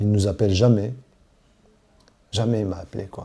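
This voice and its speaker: A man speaks at a fairly slow pace with a dark, mellow tone. His voice is somewhat breathy, with fairly even intonation. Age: 40s. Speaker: witness to domestic violence. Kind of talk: testimony. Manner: halting.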